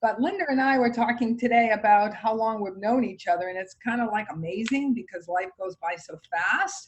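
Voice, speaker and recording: A woman with a slight Massachusetts accent talks at a moderate pace with hardly any pauses. Her fairly high pitch carries lively intonation. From Massachusetts, Boston area. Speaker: real estate agent. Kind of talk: casual chat.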